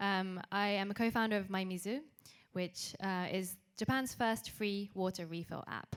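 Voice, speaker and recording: A woman of medium pitch, with fairly even intonation at a moderate pace. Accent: British. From UK. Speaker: startup co-founder. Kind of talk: panel introduction.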